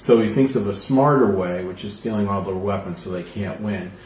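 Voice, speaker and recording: Mumbling at a fairly quick pace, a man speaks at a fairly low pitch with ordinary pitch variation in audible room echo. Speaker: tarot reader. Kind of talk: live-streamed tarot reading. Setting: live stream. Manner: casual, conversational.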